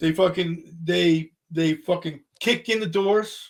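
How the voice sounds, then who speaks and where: A man with an American accent, high pitch and ordinary pitch variation. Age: 60s. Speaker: rock musician. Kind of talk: casual interview chat. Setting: podcast interview. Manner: animated.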